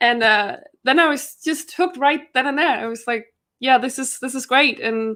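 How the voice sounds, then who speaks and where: With a Danish accent, a woman in a raised, projected voice speaks at a high pitch and a moderate pace, her tone bright and sharp, with ordinary pitch variation. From Denmark. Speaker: trivia competitor, rookie. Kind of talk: casual interview.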